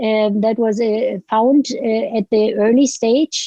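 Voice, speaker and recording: A woman with a German accent speaks at a fairly slow pace, her fairly high pitch moving with ordinary variation. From Germany. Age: 70s. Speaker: author. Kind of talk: interview. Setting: podcast. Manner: halting.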